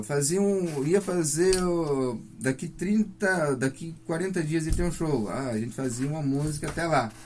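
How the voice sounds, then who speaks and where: An ordinary speaking voice from a man, fairly high in pitch, with ordinary pitch variation and hardly any pauses. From Paraná, Brazil (near Londrina, Faxinal). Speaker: psychobilly musician. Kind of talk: radio interview. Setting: radio studio.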